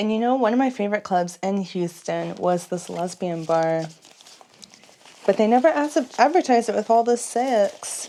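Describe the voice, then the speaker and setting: A woman with an American accent at a moderate pace, lively intonation and noticeable background noise. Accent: Texan, slight, slips out. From Texas. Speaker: nightlife vlogger. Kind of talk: casual vlog chat. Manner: chatty, rambling casual.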